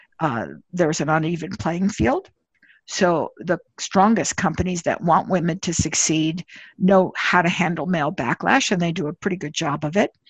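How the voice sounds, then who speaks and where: A woman speaks in a normal speaking voice at a fairly low pitch and a fairly slow pace. The sound is dry and close with no echo, and the background is quiet. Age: 60s. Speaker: management consultant and leadership author. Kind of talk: interview.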